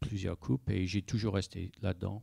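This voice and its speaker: In an English accent, a man speaks with a very deep, low pitch and a dark, mellow tone on a very clean recording with a silent background. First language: English (speaking French). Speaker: sailing project manager. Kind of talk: panel discussion. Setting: conference with audience. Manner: halting, many hesitations.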